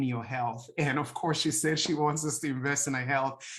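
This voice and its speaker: Against a quiet background, a man with a Nigerian accent speaks at a fairly high pitch. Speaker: health coach. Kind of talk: testimony. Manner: halting, many fillers.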